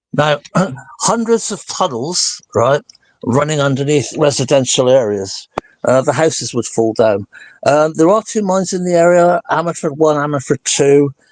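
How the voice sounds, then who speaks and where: A man with a Welsh accent speaks at a fairly high pitch with lively intonation. The sound is dry and close, with no echo. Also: moderate pace. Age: 60s. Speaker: interviewee, property owner in disputed case. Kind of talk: interview, rebuttal of a video.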